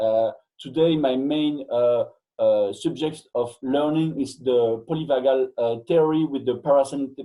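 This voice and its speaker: Using a French accent, a man speaks at a moderate pace with a fairly high pitch. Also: fairly even intonation. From Belgium. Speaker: fitness coach and educator. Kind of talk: interview. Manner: halting, frequent hesitations.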